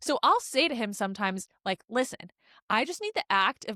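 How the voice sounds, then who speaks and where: A woman speaks loudly at a fairly quick pace, medium in pitch with a bright, sharp tone. The recording is very clean and dry, close with no echo and a silent background. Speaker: podcast co-host. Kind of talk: casual chat. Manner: loud, projects voice.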